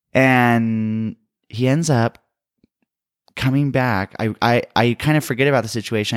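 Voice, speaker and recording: The delivery comes at a fairly slow pace. The recording is very clean with a silent background, and the sound is dry and close with no echo. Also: man. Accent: American. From US West, San Diego, California. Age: 20s. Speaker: guest sharing coming-out story. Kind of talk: casual interview, personal testimony.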